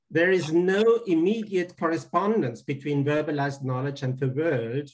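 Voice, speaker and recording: Against a quiet background, a man's voice comes through somewhat breathy. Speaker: remote guest lecturer. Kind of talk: lecture. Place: home room. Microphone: video call.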